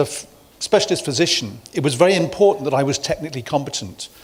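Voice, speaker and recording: A man's fairly high voice with lively intonation at a very fast pace, over noticeable background noise. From UK. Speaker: medical executive, former neurosurgeon. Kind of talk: conference talk.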